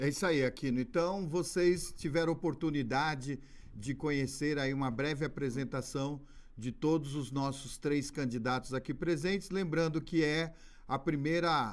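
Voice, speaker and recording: A man with an unremarkable speaking voice, fairly high in pitch, at a fairly slow pace with ordinary pitch variation. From Pernambuco, Brazil. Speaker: debate moderator. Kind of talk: live debate moderation.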